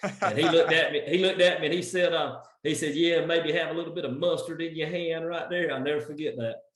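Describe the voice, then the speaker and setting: A man's high-pitched voice with an American accent, very fast with hardly any pauses, fairly even in intonation, over noticeable background noise. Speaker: benefit and charity gala auctioneer. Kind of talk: casual interview answer, storytelling.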